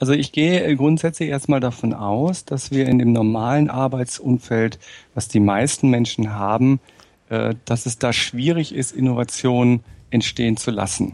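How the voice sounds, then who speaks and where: The man has an ordinary speaking voice at a medium pitch. He talks at a moderate pace with ordinary pitch variation. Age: 40s. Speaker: management trainer and consultant. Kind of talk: interview. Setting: remote call.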